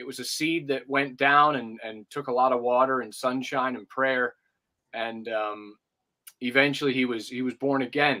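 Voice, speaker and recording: This man, with an American accent, speaks at a moderate pace and medium pitch, his bright, sharp tone showing big swings in loudness over fairly even intonation. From United States until age ten, then Liverpool. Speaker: campus ministry leader. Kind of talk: interview. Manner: halting, many fillers and restarts.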